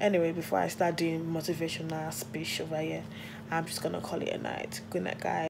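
A fairly low-pitched woman talks fairly quickly, her pitch varying in an ordinary way, while noticeable noise sits in the background. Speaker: vlogger. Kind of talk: casual vlog talk. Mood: reflective, grateful. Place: home room. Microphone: phone near.

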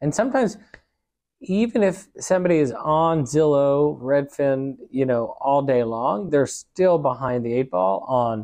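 A dark, mellow tone with lively intonation, very even loudness and a fairly slow pace, over a quiet background. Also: man, fairly high pitch for a man. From Pittsburgh; Pennsylvania. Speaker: real estate brokerage leader and podcast host; podcast host. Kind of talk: casual interview. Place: office. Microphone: lapel.

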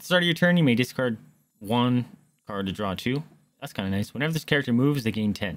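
A natural reading voice with lively intonation comes through over a quiet background.

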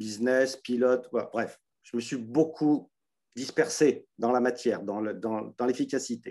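In a quiet background, a man with a dark, mellow tone and medium pitch speaks at a very slow pace with fairly even intonation. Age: 60s. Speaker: participant. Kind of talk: testimony. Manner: halting. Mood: earnest, weary, searching. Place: home room. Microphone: video call.

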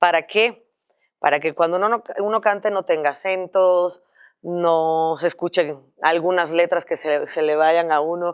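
A woman's fairly low pitch and fairly even intonation at a fairly slow pace, against a quiet background. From Cuba. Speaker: singer; guest. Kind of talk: interview; interview answer. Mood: amused, cheerful. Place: studio.

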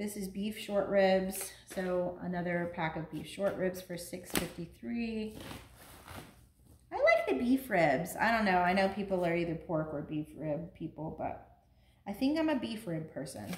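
A woman speaks at a fairly slow pace. Light background noise and audible room echo surround her voice. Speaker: home vlogger. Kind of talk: casual vlog chat. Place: kitchen. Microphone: camera far.

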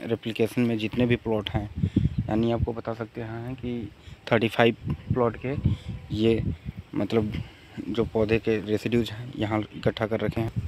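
A man speaks with a fairly low pitch, a slightly mellow tone and little pitch movement.

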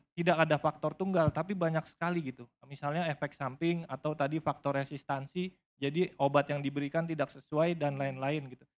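A man with an unremarkable speaking voice talks fairly quickly and fairly high. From Indonesia. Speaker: HIV community network representative; panelist. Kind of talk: panel talk. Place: hall. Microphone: handheld.

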